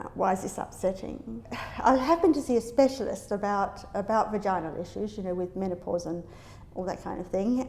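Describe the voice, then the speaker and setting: A woman speaks at a fairly quick pace with lively intonation. Noticeable background noise sits behind her. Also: medium pitch for a woman. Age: 60s. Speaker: academic. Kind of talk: interview answer.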